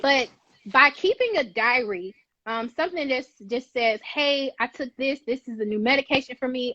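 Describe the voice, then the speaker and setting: Her voice raised and projected, a woman with an American accent speaks at a high pitch in a bright, sharp tone, with a dry, close sound with no echo. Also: ordinary pitch variation, moderate pace. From Atlanta, Georgia, USA. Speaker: community pharmacist. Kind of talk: interview answer. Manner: casual, conversational.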